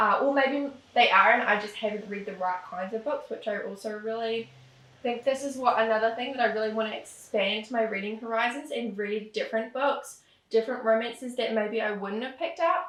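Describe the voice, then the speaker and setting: A woman speaks at a fairly quick pace with a New Zealand accent. Her pitch is fairly high, and there is noticeable background noise. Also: ordinary pitch variation. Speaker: romance author and booktuber. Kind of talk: casual chat. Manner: casual, rambling with fillers.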